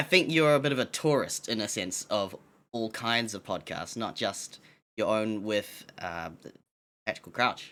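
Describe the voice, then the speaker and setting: With a New Zealand accent, a man speaks at a moderate pace in a bright, sharp tone, his medium pitch carrying lively intonation. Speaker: podcast co-host. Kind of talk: casual podcast chat. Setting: live-streamed podcast on Twitch.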